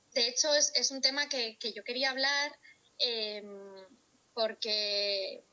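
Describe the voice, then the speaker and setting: Ordinary pitch variation runs through a woman's bright, sharp tone. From Spain, Valladolid (Castile). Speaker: speech therapist. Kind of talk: interview conversation.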